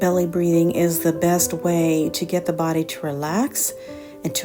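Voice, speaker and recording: A woman speaks in a gentle, calm tone with a fairly low pitch. Music plays behind her. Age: 60s. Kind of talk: fitness instruction.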